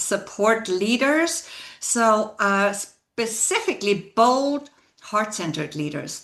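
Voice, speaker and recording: Very slowly, a woman with a non-native accent speaks at a fairly high pitch. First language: not English. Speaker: leadership coach. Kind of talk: interview conversation.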